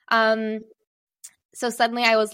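A woman speaks at a medium pitch with a slight American accent. The recording is very clean, with a silent background. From Singapore. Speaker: business and marketing strategist. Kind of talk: podcast interview conversation. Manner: hesitant, many fillers.

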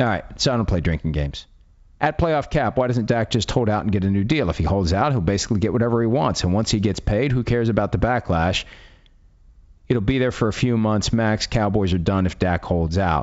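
An unremarkable speaking voice from a man with an American accent, fairly low in pitch, fairly quick, with lively intonation and very even loudness. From West Virginia. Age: 50s. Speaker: podcast host. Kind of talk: casual chat.

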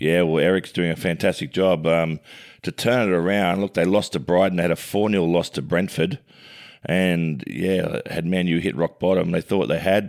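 In a very clean recording with a silent background, a man with an Australian accent speaks at a very deep, low pitch with fairly even intonation. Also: moderate pace. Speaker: sports pundit and co-host. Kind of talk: casual sports chat. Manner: loud.

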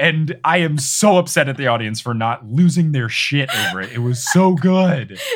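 Over noticeable background noise, a man with a fairly high voice talks at a moderate pace, his pitch swinging very widely. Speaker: podcast host. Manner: casual, conversational.

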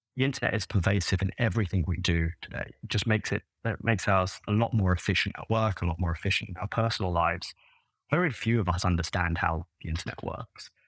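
Very deep and low in pitch, a man with an American accent speaks at a very fast pace, somewhat breathy and with ordinary pitch variation. The recording is very clean, with a silent background. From London, England. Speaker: interim CEO at a tech company. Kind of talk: casual interview.

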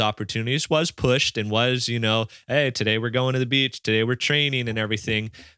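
The voice belongs to a man. It sounds bright and sharp. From Hawaii, Maui. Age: 20s. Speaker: professional stand-up paddleboarder and surfer. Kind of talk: casual chat.

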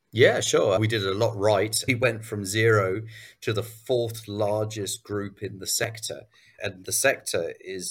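In a very clean recording with a silent background, a man speaks with an English accent. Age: 50s. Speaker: business acquisition entrepreneur. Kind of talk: interview.

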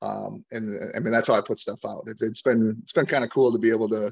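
A man with an Upper Midwest accent talks at a fairly quick pace. Vocal fry runs through his voice. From Wisconsin, Door County. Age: 40s. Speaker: hunting content creator, Marine veteran. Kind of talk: casual interview.

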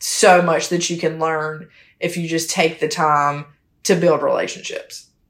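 In a Southern US accent, a woman speaks at a fairly slow pace. Her pitch sits fairly low. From South Carolina, small town. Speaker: real estate asset manager. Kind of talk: casual interview chat.

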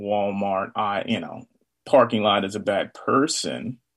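Here a man speaks in a normal speaking voice at a fairly low pitch. His pace is fairly slow. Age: 40s. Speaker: charity co-founder and business owner. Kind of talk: casual interview.

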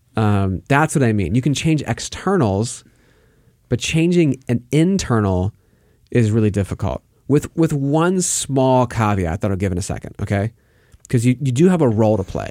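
In a dry, close recording with no echo and a very clean, silent background, a man with a medium pitch and a dark, mellow tone speaks at a moderate pace with very wide pitch swings. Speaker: faith mentor and co-host. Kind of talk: casual chat about faith.

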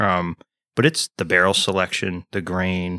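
On a very clean recording with a silent background, a man with an American accent and a very deep, low pitch speaks in a bright, sharp tone with monotone, flat intonation, the sound dry and close with no echo. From Texas. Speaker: podcast co-host, military veteran. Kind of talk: casual chat.

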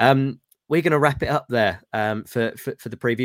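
A man speaks in a plain, everyday voice. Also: dry, close sound with no echo. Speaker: football podcast host. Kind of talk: casual chat.

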